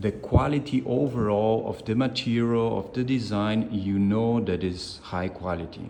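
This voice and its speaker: At a medium pitch, a man speaks with ordinary pitch variation and a fairly slow pace. Audible room echo surrounds his voice. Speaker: product reviewer. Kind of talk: product review. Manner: halting, with self-corrections.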